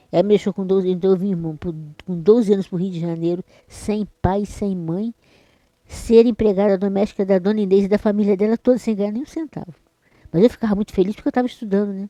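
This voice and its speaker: The voice has a dark, mellow tone and fairly even intonation at a very fast pace. The sound is dry and close, with no echo. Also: woman, medium pitch for a woman. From Brazil, Espírito Santo (rural). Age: 60s. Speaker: church member. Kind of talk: interview testimony. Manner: halting, repeats words.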